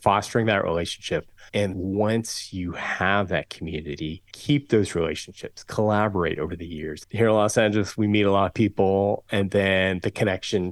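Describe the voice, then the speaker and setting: Very deep, low-pitched man with an American accent, moderate pace and fairly even intonation, on a very clean recording with a silent background. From Southern California. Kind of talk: interview conversation.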